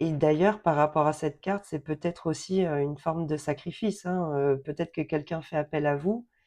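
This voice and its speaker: A woman's very deep, low voice with a dark, mellow tone and ordinary pitch variation. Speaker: tarot card reader. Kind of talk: card reading for viewers. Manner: hesitant, many fillers.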